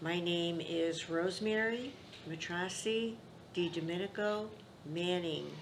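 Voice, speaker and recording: A woman's fairly low voice with an American accent, carrying audible room echo. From Upstate New York (Rome, NY). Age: 80s+. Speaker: grandmother interviewee. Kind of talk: family oral history interview.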